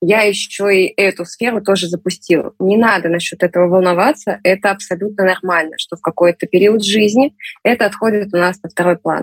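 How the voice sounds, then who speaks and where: A woman at a medium pitch talks fairly quickly, the sound dry and close with no echo. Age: 30s. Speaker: amateur sports enthusiast. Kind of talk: interview. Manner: animated.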